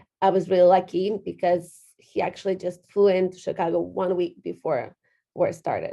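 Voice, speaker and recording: A woman at a moderate pace with a Ukrainian accent. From western Ukraine. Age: 30s. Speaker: real estate agent. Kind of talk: interview. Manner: halting.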